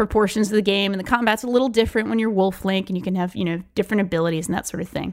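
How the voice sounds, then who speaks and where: A woman with an unremarkable speaking voice talks at medium pitch with ordinary pitch variation, recorded very cleanly against a silent background. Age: 30s. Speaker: podcast co-host. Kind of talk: casual chat.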